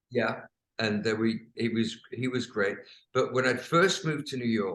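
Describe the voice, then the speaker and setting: Speaking with an English accent at a moderate pace, a man uses a medium pitch and ordinary pitch variation. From England. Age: 70s. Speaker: rock singer and songwriter. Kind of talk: interview answer.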